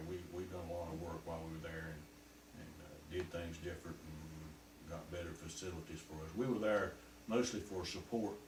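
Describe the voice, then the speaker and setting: Over noticeable background noise, a man with a Southern US accent speaks at a moderate pace in a very deep, low pitch with ordinary pitch variation. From North Carolina. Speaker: war veteran. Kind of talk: interview answer.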